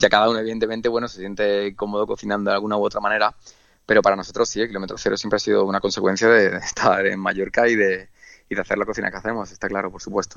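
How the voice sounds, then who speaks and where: Talking at a very fast pace, a man with a fairly low pitch keeps a monotone, flat intonation while his loudness swings widely. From Andalusia, Spain. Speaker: chef. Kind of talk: radio interview. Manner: hesitant, many fillers and repetitions.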